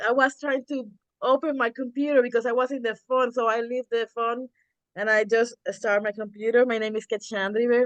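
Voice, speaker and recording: A woman speaks with a Spanish accent at a fairly high pitch. Her intonation is fairly even, and the sound is dry and close with no echo. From Puerto Rico. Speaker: community organizer, Lyft driver. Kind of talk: self-introduction on group call. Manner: halting.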